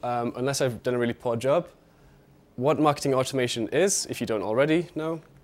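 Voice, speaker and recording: Talking very fast in a British accent, a man holds a medium pitch with ordinary variation. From UK. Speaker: marketing analyst. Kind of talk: conference talk. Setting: stage with audience. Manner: halting, filler-heavy.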